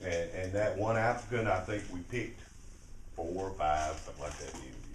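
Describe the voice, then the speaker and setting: A man with an Alabama accent talks at a fairly quick pace with lively intonation, over noticeable background noise and audible room echo. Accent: Southern US (Alabama). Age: 60s. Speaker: mayor. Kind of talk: talk to a civic club. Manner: halting, with many fillers.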